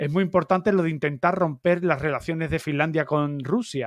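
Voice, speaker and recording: Against a quiet background, a man with an Andalusian accent talks at a moderate pace with a fairly high pitch and ordinary pitch variation. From Andalusia, Algeciras. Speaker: YouTube channel host. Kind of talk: live-stream interview. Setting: live stream.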